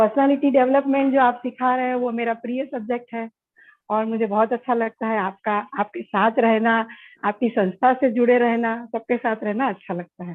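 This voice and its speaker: A woman talks with fairly even intonation. Her pitch sits fairly high. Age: 60s. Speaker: workshop participant, runs a fashion institute. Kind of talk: self-introduction in a workshop. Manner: hesitant, with fillers.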